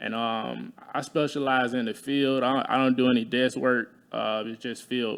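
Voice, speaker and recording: The voice has an Alabama accent and a monotone, flat intonation. It moves at a moderate pace with hardly any pauses. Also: man, medium pitch for a man. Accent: Southern US (Alabama). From US South, Talladega, Alabama. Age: 20s. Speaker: insurance adjuster, military veteran. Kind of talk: casual interview.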